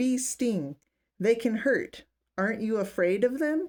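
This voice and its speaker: A woman performs a put-on character voice at a fairly high pitch. She speaks fairly slowly, with very wide pitch swings. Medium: read story.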